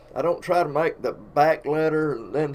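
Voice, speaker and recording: A man speaks at a moderate pace with an Alabama accent. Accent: Southern US (Alabama). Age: 60s. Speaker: painter of sports fields and artist. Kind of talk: casual storytelling live stream. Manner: casual, folksy.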